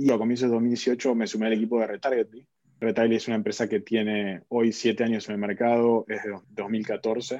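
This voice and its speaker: A man's fairly low-pitched voice, dark and mellow in tone, at a moderate pace. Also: quiet background. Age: 30s. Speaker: tech executive. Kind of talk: interview.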